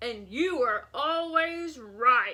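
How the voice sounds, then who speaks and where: Loud and bellowing, the voice is a put-on character. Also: woman. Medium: read story. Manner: loud, roaring.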